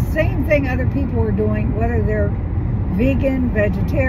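A woman speaks over loud background noise. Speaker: vlogger. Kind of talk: casual vlog chat. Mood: mildly annoyed, reflective. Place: car. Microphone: phone near.

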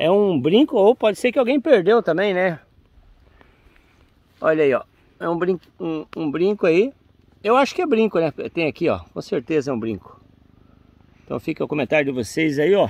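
A man speaks in a high voice, leaving long, frequent pauses. His pitch swings very widely, and the sound is dry with no echo. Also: moderate pace. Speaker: treasure hunter vlogger. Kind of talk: casual vlog chat. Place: forest. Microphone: phone near.

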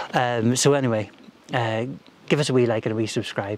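This man talks at a moderate pace with fairly even intonation. The sound is dry, with no echo. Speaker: hiking vlogger. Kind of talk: casual vlog chat. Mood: relaxed, chatty, self-deprecating. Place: open country.

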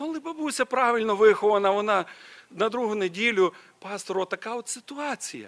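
This man talks at a fairly quick pace in a high pitch. His voice makes very wide pitch swings. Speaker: preacher. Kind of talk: sermon. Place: church. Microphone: podium.

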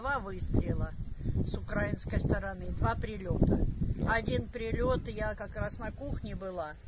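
Loud background noise accompanies a dry sound with no echo. The speech moves at a fairly slow pace. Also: woman. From Donetsk, Ukraine. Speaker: pensioner. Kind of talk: interview answer. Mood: shaken, recounting shelling. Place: garden.

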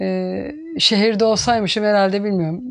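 A woman's voice at a moderate pace, with ordinary pitch variation, against a quiet background. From Turkey, Çanakkale region; Turkey. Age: 50s. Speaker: village woman, farmer. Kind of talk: interview, life story. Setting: at home. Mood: calm, reflective. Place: home room. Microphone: lapel.

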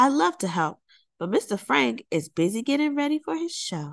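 A woman puts on a character voice, pitched high with big swings and touches of vocal fry. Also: moderate pace.

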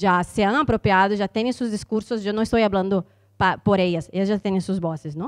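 A woman talks at a moderate pace with ordinary pitch variation. Her background is quiet. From Brazil. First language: Portuguese (speaking Spanish). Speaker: university lecturer and historian; university lecturer. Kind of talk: panel discussion. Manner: halting. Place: hall. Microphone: handheld.

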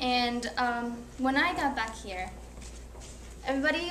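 A woman's high voice at a fairly slow pace, with ordinary pitch variation, audible room echo and light background noise. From Ecuador. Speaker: college student; presenter. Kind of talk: class presentation. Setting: classroom. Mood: earnest, reflective. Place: classroom. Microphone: camera far.

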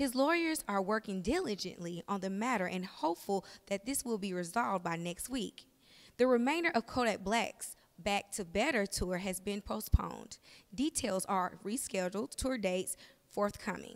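This woman has a slight Southern US accent and a medium pitch. Her intonation is lively and her pace moderate. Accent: slight Southern twang. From US South, Huntsville, Alabama. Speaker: entertainment news presenter auditioning. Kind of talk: news reading. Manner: animated.

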